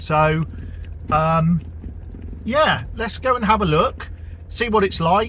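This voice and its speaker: A man speaks in a relaxed tone with a southern English accent. Noticeable background noise runs underneath. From southern England. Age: 50s. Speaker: vlogger. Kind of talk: casual vlog narration. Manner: relaxed, with fillers.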